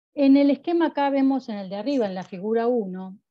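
A woman speaks at a moderate speed with ordinary pitch variation, and the background is quiet. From Argentina. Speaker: university researcher. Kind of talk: academic lecture. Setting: video call. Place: home room. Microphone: video call.

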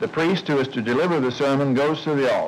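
Over light background noise, a man speaks in a solemn tone with ordinary pitch variation. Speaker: documentary narrator and interviewer. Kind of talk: 1960s educational film narration, formal and measured. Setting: monastery. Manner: formal; measured, earnest, solemn. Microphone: old recording.

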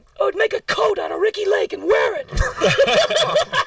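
A man puts on a cartoonish character voice with an extremely high pitch. He keeps a moderate pace. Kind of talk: comic puppet voice. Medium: puppet show. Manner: crude, heckling, brash.

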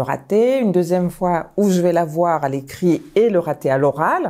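With lively intonation, a woman speaks in a fairly low voice that has a dark, mellow tone. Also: quiet background. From Mali, then Paris suburbs from age 7. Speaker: high school principal; school head teacher recounting career. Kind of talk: personal testimony. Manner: hesitant, many filler pauses. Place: home room. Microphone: lapel.

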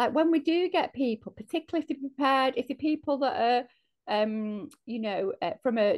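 Pitched high, a woman with a Mancunian accent speaks at a fairly quick pace with lively intonation against a quiet background. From north Manchester, England. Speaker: organisation chief executive; panelist. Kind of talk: panel discussion. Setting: video call. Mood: earnest, reflective. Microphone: earbuds.

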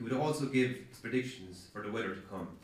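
A man talks at a fairly quick pace, with audible room echo. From Ireland. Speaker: author. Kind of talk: author reading aloud from his novel. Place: hall.

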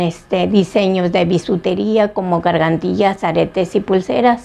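A fairly slow woman's voice with a dark, mellow tone. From Salamanca, Guanajuato, Mexico; Guanajuato, Mexico. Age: 60s. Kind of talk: interview; interview answer. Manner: halting, many fillers. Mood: warm, encouraging. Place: home room.

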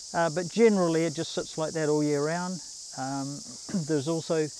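A man speaks at a fairly high pitch and a moderate pace. His pitch varies in an ordinary way.

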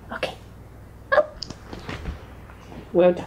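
Someone is whispering at a fairly slow pace. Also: woman. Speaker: dog owner. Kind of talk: ASMR, casual talk to pets while grooming. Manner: soft-spoken. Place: home room. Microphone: camera far.

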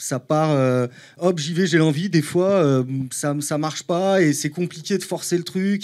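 A man speaks fairly slowly. The background is quiet. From Paris, France. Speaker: painter; guest. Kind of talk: casual interview. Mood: relaxed, thoughtful. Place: studio. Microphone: handheld.

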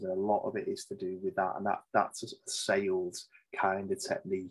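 Against a quiet background, a man speaks with a Liverpool accent. His pace is moderate. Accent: Scouse (Liverpool). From Liverpool, England. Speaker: safety manager and author; podcast guest. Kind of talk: interview conversation. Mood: relaxed, chatty. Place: home room. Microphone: video call.

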